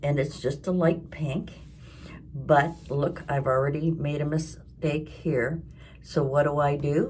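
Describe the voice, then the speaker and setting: The voice is somewhat breathy, with monotone, flat intonation and a very slow pace. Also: woman, very deep, low pitch for a woman. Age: 70s. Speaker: crafting and lifestyle vlogger. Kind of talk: casual talk to camera.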